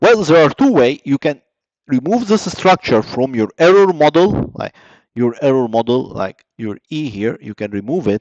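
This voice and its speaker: A man speaks at a moderate pace in a fairly high pitch, his voice swinging very widely up and down. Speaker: lecturer. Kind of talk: lecture. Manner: halting, many fillers.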